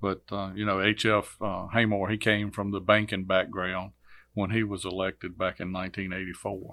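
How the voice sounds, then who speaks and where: Speaking at a moderate pace, a man uses a fairly low pitch and a bright, sharp tone in a monotone, flat delivery, captured in a very clean recording with a silent background. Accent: Virginia. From Virginia, US South. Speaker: court clerk, former state trooper. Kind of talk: interview.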